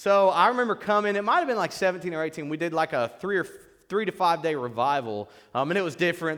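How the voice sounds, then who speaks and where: Talking at a very fast pace, a man with an American accent uses lively intonation. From US Midwest, southern Illinois (Metropolis, near Paducah). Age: 30s. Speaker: guest preacher sharing testimony. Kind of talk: testimony / sermon. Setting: church. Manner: casual, halting with fillers.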